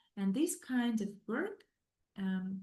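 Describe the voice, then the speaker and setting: A woman speaks at a very slow pace and a medium pitch. Her tone is dark and mellow, and somewhat breathy. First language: not English. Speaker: psychologist. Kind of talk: lecture. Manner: halting, many fillers.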